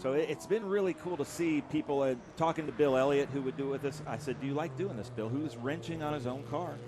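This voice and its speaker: A man with a Southern US accent rushes along at a very fast pace with hardly any pauses, his fairly high voice showing ordinary pitch variation against noticeable background noise. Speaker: racing commentator. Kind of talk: live race commentary. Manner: animated.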